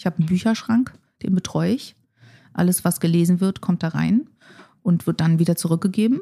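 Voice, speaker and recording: A woman's somewhat breathy voice, medium in pitch, with a dark, mellow tone, ordinary pitch variation and a fairly quick pace. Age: 40s. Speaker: futurist. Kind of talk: conversational interview.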